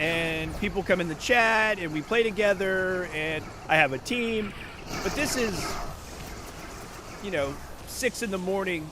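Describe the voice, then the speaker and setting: A man with a high pitch speaks in a raised, projected voice with an animated tone and ordinary pitch variation. His pace is fairly slow, with long, frequent pauses and noticeable background noise. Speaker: livestreamer. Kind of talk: casual chat. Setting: livestream from home. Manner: loud.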